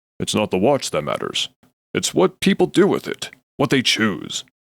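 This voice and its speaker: Putting on a character voice, a man speaks at a moderate pace and a fairly high pitch, the sound dry and close with no echo. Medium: read story. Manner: measured, dry.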